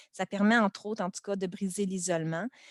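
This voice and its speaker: A woman with a Quebec accent, medium pitch and ordinary pitch variation, in a dry, close sound with no echo. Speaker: primary school teacher. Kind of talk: webinar presentation. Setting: video call webinar. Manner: casual, many hesitations.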